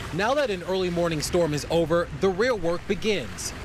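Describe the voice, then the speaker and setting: The speaker's pitch moves with ordinary variation. Behind the voice, music is playing. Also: man. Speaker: TV news reporter and anchor. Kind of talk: TV news reporter stand-up and package narration.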